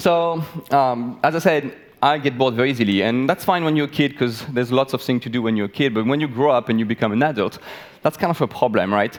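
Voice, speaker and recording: Speaking very fast with lively intonation, a man at medium pitch talks with a French accent. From France. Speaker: biologist. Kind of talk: talk to live audience. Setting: stage with audience. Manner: animated.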